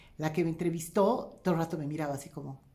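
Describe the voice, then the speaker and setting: The woman's voice is fairly low in pitch, with a dark, mellow tone. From Bolivia, Cochabamba. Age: 40s. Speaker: economist and former comedian. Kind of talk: talk to audience. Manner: many fillers and hesitations.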